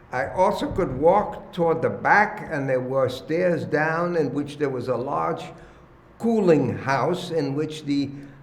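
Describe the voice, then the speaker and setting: A man speaks at a fairly slow pace with a fairly high pitch and ordinary pitch variation, with audible room echo and noticeable background noise. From Germany, Cologne. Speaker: oral history interviewee. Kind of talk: oral history testimony. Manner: halting, many fillers.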